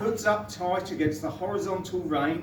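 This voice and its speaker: A high-pitched man with ordinary pitch variation, amid audible room echo and noticeable background noise. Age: 50s. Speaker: father of the bride. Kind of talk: wedding speech. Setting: wedding reception.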